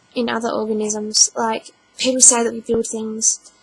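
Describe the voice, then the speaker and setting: A woman's fairly high voice with monotone, flat intonation at a moderate pace, amid noticeable background noise. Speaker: vlogger. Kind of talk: casual vlog. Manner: halting.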